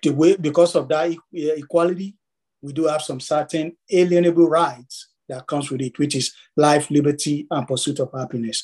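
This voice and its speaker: Here is an ordinary speaking voice from a man with a fairly high pitch. He keeps a moderate pace and fairly even intonation. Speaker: active-duty army soldier. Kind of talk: panel discussion.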